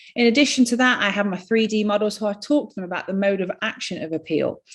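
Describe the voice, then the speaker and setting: A woman with a northern English accent at a fairly quick pace. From northern England. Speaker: skin care practitioner. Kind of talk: webinar presentation. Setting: online webinar.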